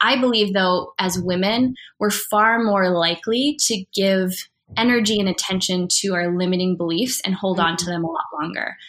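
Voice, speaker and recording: A woman with an ordinary speaking voice, medium pitch and ordinary pitch variation. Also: moderate pace. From US Upper Midwest, Wisconsin. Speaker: entrepreneur and speaker who runs women's events. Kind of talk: casual interview conversation.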